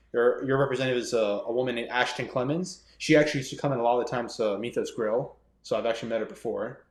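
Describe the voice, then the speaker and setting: A man with an American accent talks at a very fast clip. His intonation stays fairly even, and the room echo is audible. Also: medium pitch for a man. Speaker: aspiring politician. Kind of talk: casual interview. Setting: podcast recording.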